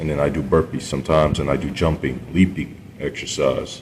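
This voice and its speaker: A man with a very deep, low pitch and vocal fry at a moderate pace. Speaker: video blogger. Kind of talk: casual monologue. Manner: halting.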